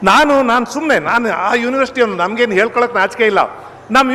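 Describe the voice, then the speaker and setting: Noticeable background noise sits behind speech that shows ordinary pitch variation. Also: man. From Mandya district, Karnataka, India. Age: 60s. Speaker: professor and public orator. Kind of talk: public speech. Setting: stage with audience.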